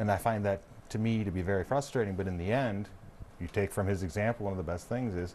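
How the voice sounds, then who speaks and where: With an American accent, a man talks at a very fast pace, his fairly low pitch showing ordinary variation. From Michigan. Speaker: congressman. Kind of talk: talk show panel discussion. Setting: TV studio.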